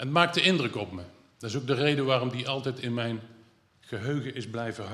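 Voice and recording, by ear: A natural voice reading aloud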